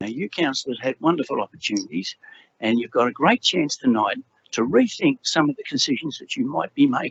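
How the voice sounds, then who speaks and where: The speaker has an Australian accent and talks at a fairly quick pace with very wide pitch swings. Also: man. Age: 70s. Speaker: resident speaking at council. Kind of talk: public address at council meeting. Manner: animated.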